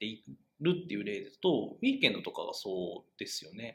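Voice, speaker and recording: A man is speaking. His pace is fairly quick. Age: 30s. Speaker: web media editor, podcast co-host. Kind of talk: casual discussion podcast.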